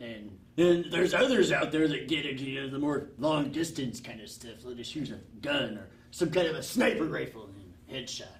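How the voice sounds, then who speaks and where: Putting on a character voice, a man speaks at a fairly quick pace with a fairly high pitch. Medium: comedy sketch. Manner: rambling, grumbling.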